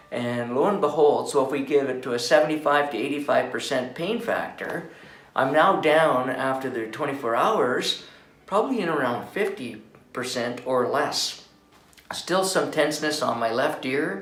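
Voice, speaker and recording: A man with audible room echo and noticeable background noise. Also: fairly high pitch for a man, ordinary pitch variation, moderate pace. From Canada (Calgary, Alberta). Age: 60s. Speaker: patient, retired school principal and veteran. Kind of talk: testimonial. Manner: hesitant, many fillers.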